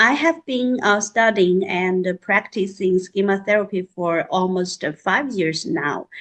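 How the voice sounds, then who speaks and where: A woman with a Chinese accent, medium pitch, lively intonation and a fairly slow pace. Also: hardly any pauses. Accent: Mandarin Chinese-accented English. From central mainland China. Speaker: psychological counselor and school counselor. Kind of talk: panel self-introduction. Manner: halting, many fillers.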